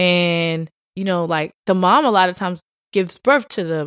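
A woman with an American accent speaks in a normal speaking voice at a fairly low pitch. Her pace is moderate, her intonation fairly even, and the sound dry and close with no echo. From Richmond, Virginia. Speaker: film producer. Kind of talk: casual chat.

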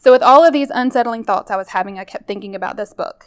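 A woman speaks very fast with a Southern US accent. Her pitch varies in an ordinary way. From Mississippi, US South. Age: 30s. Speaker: nurse. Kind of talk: personal testimony narration.

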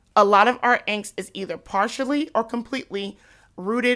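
A woman's fairly high, bright and sharp voice on a very clean recording with a silent background. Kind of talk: motivational faith teaching.

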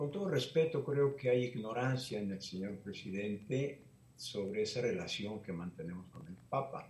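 A somewhat breathy man at a moderate pace, with audible room echo. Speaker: Jesuit priest. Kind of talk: interview.

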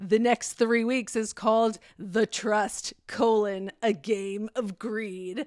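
A woman speaks at a fairly slow pace with a fairly high pitch in an unremarkable speaking voice. The sound is dry and close, with no echo. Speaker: podcast host. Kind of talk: casual chat about TV and film.

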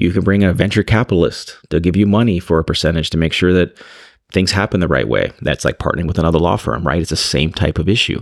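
A very fast-paced man with a very deep, low pitch, vocal fry, very even loudness and ordinary pitch variation, on a very clean recording with a silent background. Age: 40s. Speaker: trial lawyer and entrepreneur. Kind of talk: casual chat.

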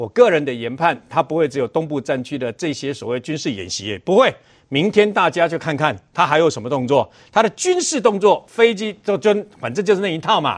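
A fairly high-pitched man with a Taiwanese accent, vocal fry, very wide pitch swings and a fairly quick pace, against a quiet background. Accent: Taiwanese Mandarin. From Taiwan, Chiayi. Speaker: senior media commentator. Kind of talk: TV political talk show commentary.

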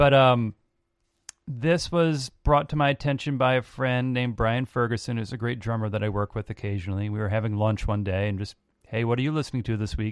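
A man with a normal speaking voice talks at a fairly quick pace in a medium pitch with ordinary pitch variation. The sound is dry and close with no echo, over a quiet background. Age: 40s. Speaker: musician and producer. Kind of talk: casual chat.

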